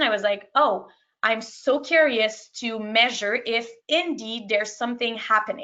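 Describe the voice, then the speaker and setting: A woman with a French accent, high-pitched, fairly slow, with ordinary pitch variation. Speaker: sport psychology practitioner. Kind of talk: webinar presentation. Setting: online webinar. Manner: halting.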